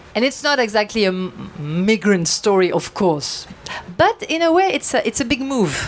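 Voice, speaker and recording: Over noticeable background noise, a woman with a French accent speaks in very wide pitch swings. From France, Basque Country (southwest). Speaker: novelist. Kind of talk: panel discussion at a book launch. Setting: bookshop event with audience. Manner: halting, many hesitations.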